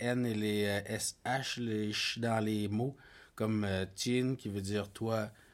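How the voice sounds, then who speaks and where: This man has a fairly low pitch and fairly even intonation. The recording is very clean, with a silent background. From Quebec North Shore, Innu community. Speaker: podcast co-host. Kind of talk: casual chat.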